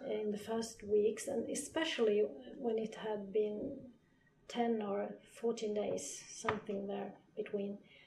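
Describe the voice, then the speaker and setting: A woman in a Swedish accent, fairly high-pitched, fairly slow and fairly even in intonation, against noticeable background noise. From northern Sweden. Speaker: physiotherapist. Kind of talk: interview.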